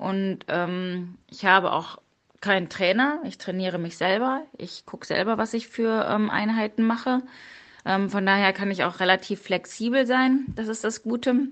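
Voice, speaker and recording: Her pitch stays at a medium level and varies in an ordinary way. The woman talks at a fairly slow speed. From Münsterland, Germany. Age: 30s. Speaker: police detective and triathlete. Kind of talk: interview. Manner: hesitant with frequent fillers.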